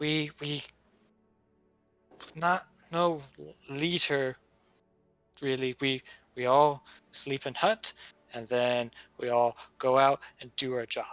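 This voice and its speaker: Putting on a character voice at a medium pitch, a man speaks at a fairly slow pace with long, frequent pauses while music plays in the background. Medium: actual play. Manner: halting, broken simple speech.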